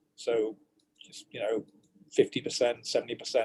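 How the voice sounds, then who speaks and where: A man with a British accent talks at a moderate pace. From Britain. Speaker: virologist and professor. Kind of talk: expert interview. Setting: video call.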